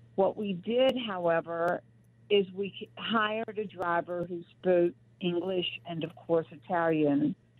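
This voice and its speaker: Her pace is very slow. A woman with a Southern US accent speaks at a fairly low pitch. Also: ordinary pitch variation. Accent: Southern American. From US South. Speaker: company founder and author. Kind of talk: interview.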